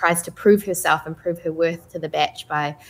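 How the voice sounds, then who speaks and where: With a New Zealand accent, a woman speaks at a moderate pace and a fairly low pitch. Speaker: voice actress. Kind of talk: panel interview. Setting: video call.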